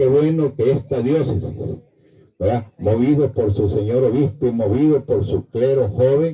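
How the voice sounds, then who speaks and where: A man talks in a dark, mellow tone that is somewhat breathy. His pitch varies in an ordinary way. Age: 80s+. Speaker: priest. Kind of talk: homily.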